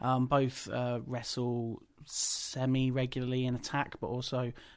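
A man at a medium pitch in a very clean recording with a silent background. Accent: Midlands. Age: 30s. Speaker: wrestling podcast host. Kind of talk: casual chat.

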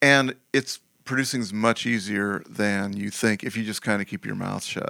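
In a very clean recording with a silent background and a dry, close sound with no echo, a man with a fairly low pitch and a bright, sharp tone speaks at a moderate pace with fairly even intonation. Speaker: music producer. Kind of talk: casual interview.

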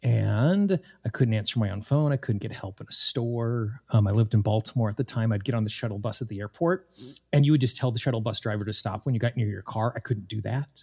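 This man has a dark, mellow tone at medium pitch, somewhat breathy, with an American accent and ordinary pitch variation. He speaks very fast, and the sound is dry and close with no echo. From Wyoming, US. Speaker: tapping coach and podcast host. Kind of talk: interview.

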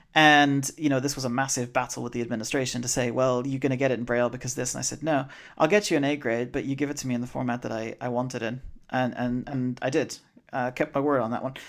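Recorded very cleanly against a silent background, a man speaks very fast at a medium pitch with fairly even intonation. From Bermuda. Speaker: lawyer. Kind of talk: interview. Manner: hesitant, many fillers and repetitions.

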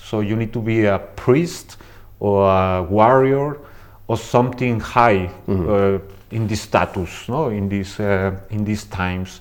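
This man has a fairly low pitch and a Spanish accent. He talks at a fairly slow pace with ordinary pitch variation. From Mexico. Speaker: body piercer and suspension artist. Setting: recorded at a conference.

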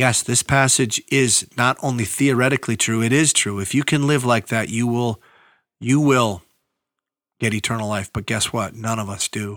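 With a very clean recording, a silent background and a dry, close sound with no echo, a man speaks at a moderate pace and medium pitch with fairly even intonation. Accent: Upper Midwest. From northeastern Minnesota, Iron Range. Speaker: pastor. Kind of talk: Bible teaching podcast. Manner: casual, conversational.

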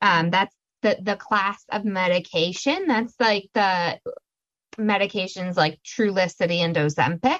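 A woman with a plain, everyday voice speaks at medium pitch and a fairly slow pace. Her loudness is very even, her pitch variation ordinary, and the sound is dry and close with no echo. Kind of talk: educational slide presentation.

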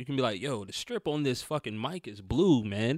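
Here is a man with an American accent. His pitch sits in the medium range. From US South, North Carolina. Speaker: rapper. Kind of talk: casual chat. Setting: studio.

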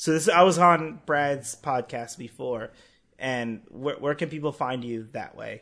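Over a quiet background, a man with an unremarkable speaking voice talks at a fairly high pitch and fairly slow pace, with lively intonation. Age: 20s. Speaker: podcast host. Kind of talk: casual chat.

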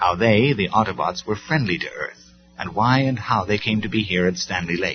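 Simple, plain reading aloud

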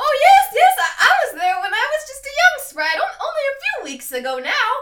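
Using a put-on character voice, the female-sounding speaker is squeaky and extremely high in pitch, swinging very widely at a moderate pace. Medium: actual play. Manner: rambling, sweet, forgetful.

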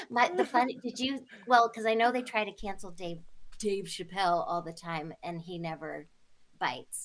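A woman with an ordinary speaking voice talks at a moderate pace and medium pitch, with lively intonation. Her loudness shows big swings. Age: 40s. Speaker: actress. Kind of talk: casual chat. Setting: at home, remote interview.

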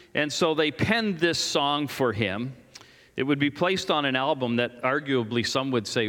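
Loud and bright, with a sharp tone, a man talks at a moderate pace with lively intonation. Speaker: pastor. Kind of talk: sermon. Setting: church.

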